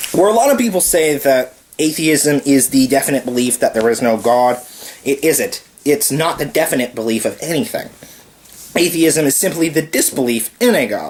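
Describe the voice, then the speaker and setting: The speaker keeps a moderate pace, with noticeable background noise. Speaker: video blogger. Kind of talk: casual monologue.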